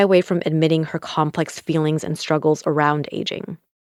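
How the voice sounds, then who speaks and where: In a very clean recording with a silent background, a woman with a normal speaking voice, a fairly low pitch and an American accent talks at a fairly quick pace. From United States. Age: 30s. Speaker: podcast host. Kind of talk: interview conversation; scripted introduction.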